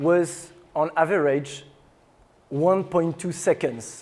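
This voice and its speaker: The speaker has a strong French accent. Pitch varies in an ordinary way. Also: man. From France. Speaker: tech startup CEO. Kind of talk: conference talk.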